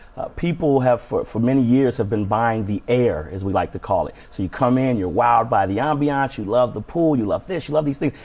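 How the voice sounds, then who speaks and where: Fairly quick pace with lively intonation and hardly any pauses. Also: man. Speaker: personal fitness trainer. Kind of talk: TV interview. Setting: TV studio. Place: studio. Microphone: lapel.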